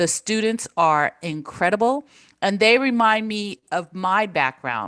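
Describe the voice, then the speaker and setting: A woman speaks fairly slowly at medium pitch with lively intonation. The sound is dry and close, with no echo. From Japan, then United States; military family. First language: Japanese. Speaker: professor, former corporate social responsibility executive. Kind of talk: interview.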